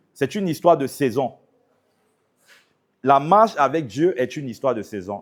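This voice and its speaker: His pitch swings very widely as this man speaks. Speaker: pastor. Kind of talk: sermon.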